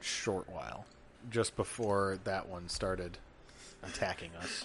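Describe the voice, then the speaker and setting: Putting on a character voice, a man speaks fairly slowly at a very deep, low pitch amid clear background noise. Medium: actual play. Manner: terse, simple phrasing.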